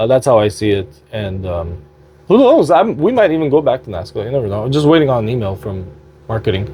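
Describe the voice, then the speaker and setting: Loud and at a moderate pace, a man speaks. His pitch swings very widely. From Quebec, Montreal (Armenian family). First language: Armenian. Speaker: slot gaming youtuber. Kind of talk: casual vlog update. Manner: halting, many fillers.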